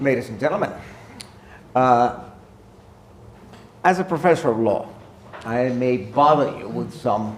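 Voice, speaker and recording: A man with an American accent, lively intonation and a moderate pace, long, frequent pauses, and noticeable background noise. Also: medium pitch for a man. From United States. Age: 70s. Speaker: law professor. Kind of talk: public talk.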